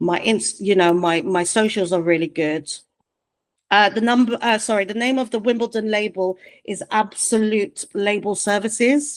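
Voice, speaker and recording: An unremarkable speaking voice from a woman, medium in pitch, at a moderate pace. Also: ordinary pitch variation. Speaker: music manager. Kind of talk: online presentation. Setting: video call.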